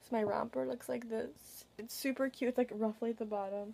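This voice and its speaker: Over light background noise, a voice with a dark, mellow tone moves at a fairly quick pace with ordinary pitch variation. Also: woman. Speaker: vlogger. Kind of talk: casual vlog chat. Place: home room. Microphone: webcam.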